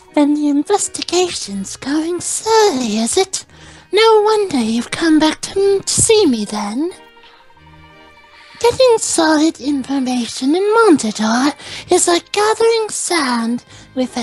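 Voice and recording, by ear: A put-on character voice speaks high with very wide pitch swings at a fairly slow pace. Faint music plays in the background.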